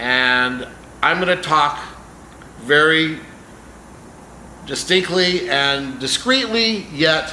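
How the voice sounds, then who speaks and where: Room echo and clearly noticeable background noise accompany a man as he speaks. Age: 60s. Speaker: celebrity manager and vlogger. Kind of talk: casual vlog announcements. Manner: casual, occasional filler words.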